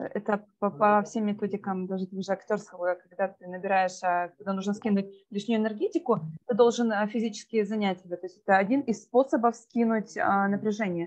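Moderately paced woman's voice at a medium pitch. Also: ordinary pitch variation. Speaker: workshop participant, actress and puppeteer. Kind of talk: casual group chat.

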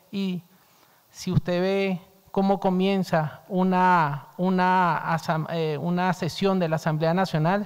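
The pace is very slow, with fairly even intonation. The background is quiet. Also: man. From Venezuela. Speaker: diplomat. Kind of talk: formal statement at hearing. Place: hall. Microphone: podium.

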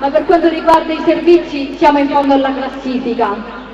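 Over noticeable background noise, a woman speaks at a high pitch with fairly even intonation. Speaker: election candidate. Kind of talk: political rally speech. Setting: outdoor stage with audience. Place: stage.

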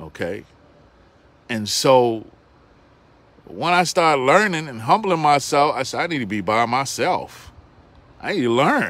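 A man talks in an animated tone at a fairly high pitch with very wide pitch swings. His pace is fairly slow, with long, frequent pauses. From New York City. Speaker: bible teacher. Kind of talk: sermon.

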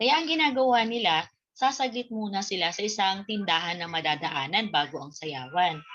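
A woman with a medium-pitched voice talks at a moderate pace, her pitch swinging very widely. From Bicol, Philippines (Daet, Camarines Norte); Bicol, Philippines. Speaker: Filipino literature teacher. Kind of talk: online lesson. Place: home room. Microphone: webcam.

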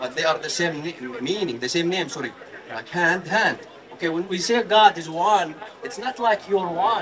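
With crowd noise in the background, a man talks at a moderate pace with lively intonation. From Jordan. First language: Arabic. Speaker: member of the public debating a street preacher. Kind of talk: heated debate. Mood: earnest, argumentative. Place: street.

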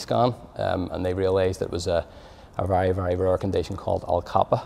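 Speaking fairly quickly in a Belfast accent, a man with a very deep, low voice keeps his intonation fairly even. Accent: Belfast Northern Irish. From Northern Ireland, Belfast. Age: 30s. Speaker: cardiac arrest survivor, amateur footballer. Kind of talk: personal testimony. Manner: halting, many fillers and repetitions. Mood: calm, grateful.

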